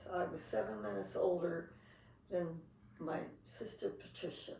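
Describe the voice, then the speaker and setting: This woman talks with a Pacific Northwest accent. There is audible room echo around her voice. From Seattle, US Pacific Northwest. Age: 80s+. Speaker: interviewee recalling family history. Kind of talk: interview.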